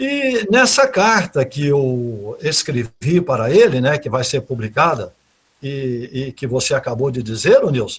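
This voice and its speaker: Somewhat breathy, a man speaks fairly slowly with lively intonation and a fairly high pitch. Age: 70s. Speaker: speaker on literature and Portuguese grammar. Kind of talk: online talk / lecture. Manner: hesitant, with many repetitions and fillers.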